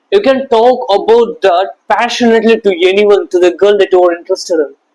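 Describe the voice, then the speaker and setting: A man with a high-pitched voice speaks at a fairly quick pace, his intonation lively and his loudness very even. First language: not English. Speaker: self-improvement YouTuber. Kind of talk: motivational talk to camera. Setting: talking to camera. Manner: animated.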